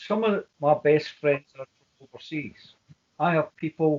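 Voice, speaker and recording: In a Glaswegian accent, a man speaks at a fairly slow pace. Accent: Glaswegian Scottish. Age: 60s. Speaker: independence activist. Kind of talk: interview.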